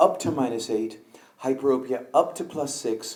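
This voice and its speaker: In a room with audible echo, a man speaks with a fairly high pitch and a dark, mellow tone. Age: 60s. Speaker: eye surgeon. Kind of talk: conference lecture. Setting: conference hall with audience.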